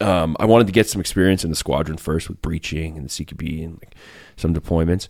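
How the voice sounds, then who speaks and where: A man with a western Canadian accent races along at a very fast pace in a very deep, low voice with big swings in loudness, on a very clean recording with a silent background. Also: ordinary pitch variation. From rural Alberta, Canada. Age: 40s. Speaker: former special forces sniper and country musician. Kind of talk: casual interview.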